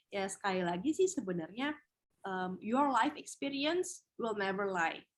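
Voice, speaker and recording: This voice moves at a moderate pace with very wide pitch swings. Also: woman, medium pitch for a woman. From Indonesia, Padang (West Sumatra). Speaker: TV host and beauty pageant winner, webinar speaker. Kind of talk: webinar talk, casual advice. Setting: online webinar.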